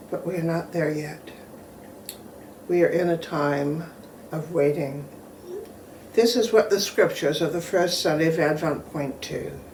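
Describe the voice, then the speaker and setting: A woman's fairly low voice at a fairly slow pace, with ordinary pitch variation, long, frequent pauses, and audible room echo. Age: 70s. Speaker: pastor. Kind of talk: sermon; reading aloud.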